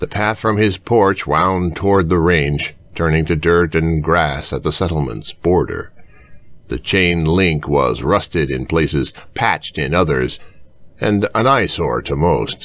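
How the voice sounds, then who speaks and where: Speaking at a fairly slow pace, a man with a very deep, low pitch and vocal fry shows ordinary pitch variation. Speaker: audiobook narrator. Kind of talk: audiobook fiction reading.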